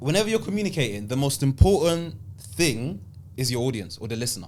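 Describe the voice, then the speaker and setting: In a South London accent, a man talks at a very fast pace with a medium pitch and very wide pitch swings, with audible room echo. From South London, England (born in Italy, Ghanaian heritage). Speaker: public speaker and speaking coach. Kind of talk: podcast interview.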